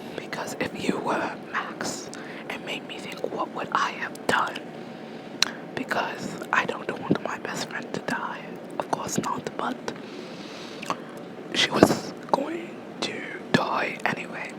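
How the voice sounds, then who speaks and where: Someone whispers very slowly with long, frequent pauses amid noticeable background noise. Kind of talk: ASMR whisper ramble about a video game; casual talk to camera. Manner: whispered.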